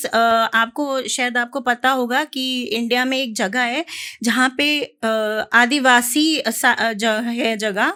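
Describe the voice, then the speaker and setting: A bright, sharp tone comes through with ordinary pitch variation on a very clean recording with a silent background. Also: woman, high pitch for a woman. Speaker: poet. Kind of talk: casual introduction to audience. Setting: live stage with audience.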